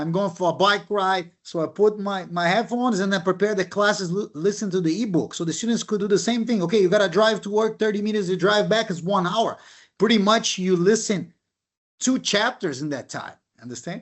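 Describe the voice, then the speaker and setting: With a non-native accent, a man speaks at a fairly quick pace in a high pitch with ordinary pitch variation. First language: not English. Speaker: professor. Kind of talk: panel discussion.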